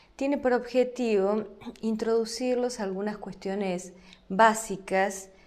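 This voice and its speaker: A woman with an Argentine accent, very slow delivery, audible room echo. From Argentina. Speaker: law lecturer. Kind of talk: lecture.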